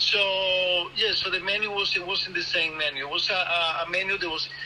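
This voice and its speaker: Over noticeable background noise, a man with a high pitch uses a raised, projected voice, with fairly even intonation and a moderate pace. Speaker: restaurant industry worker. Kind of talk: interview. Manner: halting, many fillers and repeated words.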